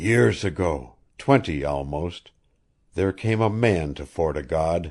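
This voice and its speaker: A man does a put-on character voice, raspy and very deep, with lively intonation at a fairly slow pace over a quiet background. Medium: read story. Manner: earnest.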